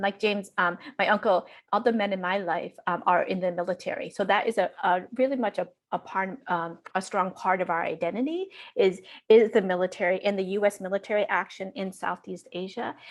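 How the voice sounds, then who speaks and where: A woman's normal speaking voice at medium pitch, fairly quick in pace, with fairly even intonation. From Vermont, US (Lao immigrant from age six). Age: 40s. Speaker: education professor. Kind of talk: panel discussion.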